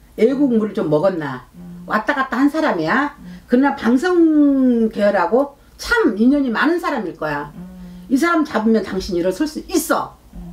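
At a fairly slow pace, a woman speaks in a fairly high voice with very wide pitch swings and big swings in loudness. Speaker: fortune teller. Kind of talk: fortune-telling reading. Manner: animated. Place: home room. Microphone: camera far.

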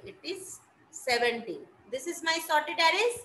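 A woman's voice has a bright, sharp tone and very wide pitch swings. Audible room echo surrounds it. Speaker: college lecturer. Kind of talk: lecture.

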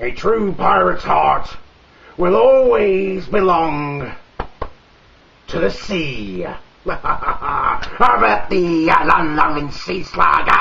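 In a put-on character voice pitched high, a man speaks at a very slow pace with long, frequent pauses. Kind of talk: comedic joke telling in character.

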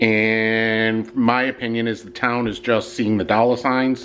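A man speaks in a flat, monotone way. Music plays in the background. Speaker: vlogger. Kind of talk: casual vlog chat. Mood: annoyed, complaining. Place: home room. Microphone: phone near.

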